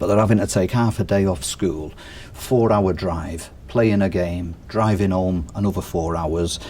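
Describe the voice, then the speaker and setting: A man speaks with a very deep, low pitch and a Mancunian accent, with ordinary pitch variation at a fairly slow pace. Noticeable background noise sits behind him. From northern England, Manchester. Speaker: strength and conditioning coach. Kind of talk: casual interview chat.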